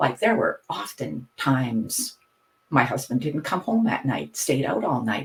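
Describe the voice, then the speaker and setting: A woman with a Canadian accent and a very deep, low pitch speaks at a fairly slow pace with very wide pitch swings. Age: 60s. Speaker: hypnotherapist and retired teacher. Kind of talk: podcast interview.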